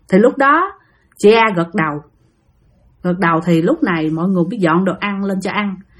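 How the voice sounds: A woman talks at a fairly quick pace with lively intonation and a medium pitch.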